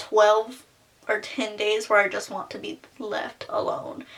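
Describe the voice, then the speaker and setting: Fairly high female voice with ordinary pitch variation, set against noticeable background noise. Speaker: beauty vlogger. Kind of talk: personal testimony vlog. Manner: casual, filler-heavy.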